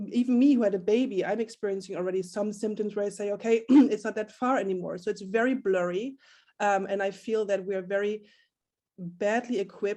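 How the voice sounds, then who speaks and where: A fairly quick woman's voice at medium pitch, dark and mellow in tone, with fairly even intonation. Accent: German. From Germany. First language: German. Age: 30s. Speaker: community founder. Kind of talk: panel discussion. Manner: hesitant, many fillers.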